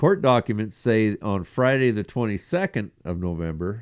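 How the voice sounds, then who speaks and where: An unremarkable speaking voice from a man, medium pitch and lively intonation at a moderate pace, over a quiet background. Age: 60s. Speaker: podcast co-host. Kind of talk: reading news stories aloud; casual chat.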